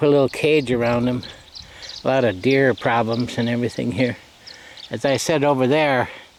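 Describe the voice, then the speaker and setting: Speaking in an American accent, a man talks at a fairly quick pace with long, frequent pauses and very even loudness over noticeable background noise. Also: medium pitch for a man. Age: 70s. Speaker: rural hobby farmer. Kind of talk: casual vlog narration. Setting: outdoors. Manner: relaxed with frequent fillers.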